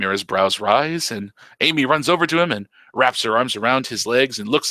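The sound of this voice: Lively intonation in an unforced reading voice.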